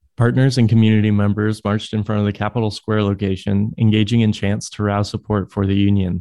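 A man talks at a very fast pace with hardly any pauses, his voice fairly low. His tone is dark and mellow, and his intonation is monotone and flat. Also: quiet background. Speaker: news reader. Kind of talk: news reading.

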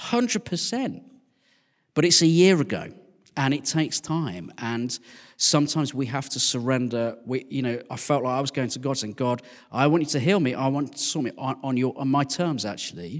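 On a very clean recording with a silent background, a man with a West Midlands accent speaks at a moderate pace and medium pitch with ordinary pitch variation. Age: 40s. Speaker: vicar. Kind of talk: casual interview.

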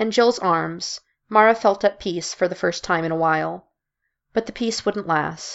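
An unforced reading voice with ordinary pitch variation and a quiet background.

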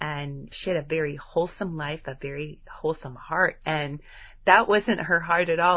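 A woman with a very deep, low voice sounds animated, speaking at a moderate pace. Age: 50s. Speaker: homeschooling podcast host. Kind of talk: solo podcast talk.

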